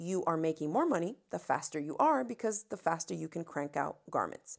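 On a very clean recording with a silent background, a woman with an American accent uses an unremarkable speaking voice, fairly low in pitch and moderate in pace. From US South, Miami, Florida. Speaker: crafting video creator. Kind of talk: solo storytelling podcast.

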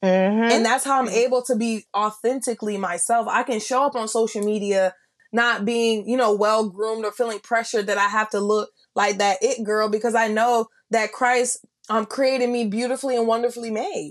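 A woman's fairly high voice at a fairly quick pace, with fairly even intonation, a normal speaking voice. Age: 20s. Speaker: podcast co-host. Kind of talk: casual faith-based chat.

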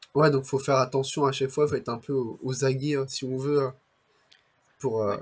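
A man with a fairly high pitch talks at a fairly quick pace in a somewhat breathy voice. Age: 20s. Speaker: entrepreneur podcast host. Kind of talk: interview.

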